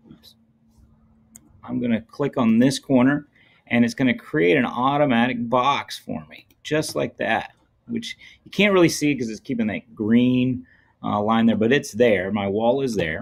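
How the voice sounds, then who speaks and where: A man at a fairly slow pace with ordinary pitch variation, over a quiet background. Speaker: teacher. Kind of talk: tutorial. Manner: casual. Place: home room.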